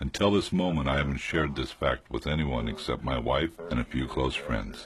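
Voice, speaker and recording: A man with an American accent speaks at a moderate pace in a very deep, low voice with ordinary pitch variation, over noticeable background noise. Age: 50s. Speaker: documentary narrator, lobotomy survivor. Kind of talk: testimony; scripted narration.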